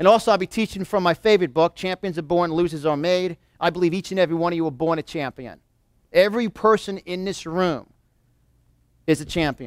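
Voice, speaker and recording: A man with a New York accent talks at a very fast pace in an animated tone, with a high pitch and ordinary pitch variation. The very clean recording has a silent background and a dry, close sound with no echo. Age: 40s. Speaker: motivational speaker. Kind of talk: motivational seminar talk. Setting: live audience in a room.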